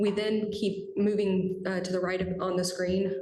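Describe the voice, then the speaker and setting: With audible room echo, a woman speaks at a medium pitch in a monotone, flat intonation. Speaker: transit agency staff presenter. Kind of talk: public meeting presentation. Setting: committee meeting boardroom. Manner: fast.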